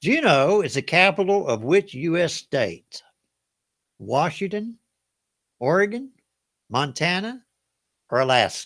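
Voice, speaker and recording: A Southern US accent at a fairly slow pace, very wide pitch swings and long, frequent pauses, in a very clean recording with a silent background. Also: man, high pitch for a man. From US South. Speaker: game show host. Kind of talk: live trivia game hosting. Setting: livestream. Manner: casual, folksy.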